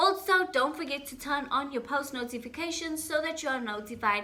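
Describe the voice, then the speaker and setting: A woman with a high pitch uses a raised, projected voice and very wide pitch swings at a fairly quick pace. Noticeable background noise and audible room echo are present. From South Africa, Johannesburg (Boksburg). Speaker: YouTuber. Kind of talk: casual chat. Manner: animated.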